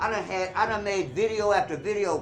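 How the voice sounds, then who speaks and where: Over music in the background and audible room echo, a man speaks at a very fast pace with ordinary pitch variation. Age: 60s. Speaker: self-help teacher and martial arts instructor. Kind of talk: casual video monologue. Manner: animated.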